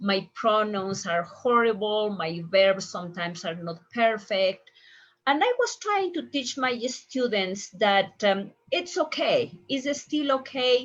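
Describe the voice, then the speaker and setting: A woman at a very slow pace, fairly high in pitch, somewhat breathy, with lively intonation against a quiet background. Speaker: language teacher and show host. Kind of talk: live-stream interview.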